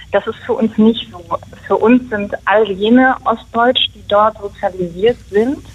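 A woman speaks very slowly at a fairly high pitch, with ordinary pitch variation and big swings in loudness, against noticeable background noise. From Mecklenburg, northern East Germany. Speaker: journalist, initiative co-founder. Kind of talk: radio interview.

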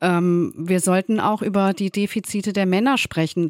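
A woman with an unremarkable speaking voice talks at a moderate pace and a medium pitch. The sound is dry and close with no echo, on a very clean recording with a silent background. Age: middle-aged. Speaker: author and journalist. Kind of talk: radio interview.

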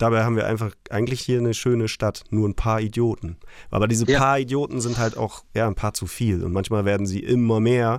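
A man's plain, everyday voice, medium in pitch, with fairly even intonation and a fairly quick pace. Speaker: punk band frontman. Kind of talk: casual chat. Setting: remote connection.

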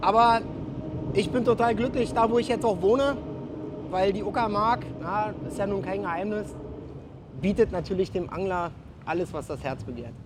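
Noticeable background noise sits under a man's high-pitched voice, which has lively intonation, a moderate pace and long, frequent pauses. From Berlin. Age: 40s. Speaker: soldier and fishing YouTuber. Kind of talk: casual chat and angling tutorial. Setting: outdoors at a canal.

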